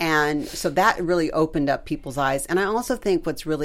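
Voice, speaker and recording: At a moderate pace, a woman talks with a very deep, low pitch and ordinary pitch variation. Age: 60s. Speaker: author. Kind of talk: casual chat.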